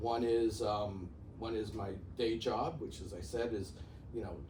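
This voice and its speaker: With a Bronx accent, a man speaks at a fairly slow pace with ordinary pitch variation, amid noticeable background noise and audible room echo. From New York, the Bronx. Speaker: real estate executive. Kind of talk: interview. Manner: halting, many fillers.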